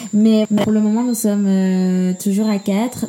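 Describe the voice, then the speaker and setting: A somewhat breathy woman's voice at medium pitch, flat and monotone in intonation. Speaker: podcast co-host. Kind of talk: casual chat.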